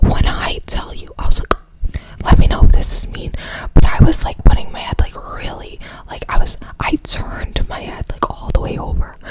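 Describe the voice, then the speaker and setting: The speaker whispers at a moderate pace. Noticeable background noise is present. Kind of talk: ASMR storytime ramble. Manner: casual, chatty.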